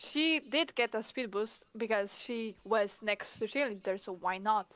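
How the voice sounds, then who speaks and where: At a fairly slow pace, a woman with a non-native accent speaks at a fairly high pitch with ordinary pitch variation. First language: not English. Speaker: esports co-caster and player. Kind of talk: live commentary.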